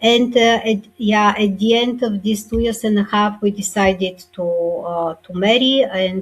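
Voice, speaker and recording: With music in the background, a woman at medium pitch speaks at a moderate pace with fairly even intonation. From Bulgaria. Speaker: author and speaker. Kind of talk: interview testimony. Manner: halting, many fillers.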